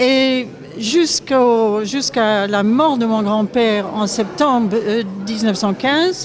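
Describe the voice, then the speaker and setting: With a Scottish accent, the speaker talks at a very slow pace with ordinary pitch variation and very even loudness, amid noticeable background noise and audible room echo. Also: woman, fairly high pitch for a woman. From Scotland. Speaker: author and viol player. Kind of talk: public speech at exhibition opening. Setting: museum event with audience. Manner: halting.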